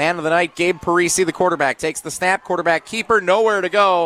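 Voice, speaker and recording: With an American accent, a man talks in a high pitch against noticeable background noise. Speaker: high school football play-by-play announcer. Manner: conversational and explanatory between plays, setting up situations.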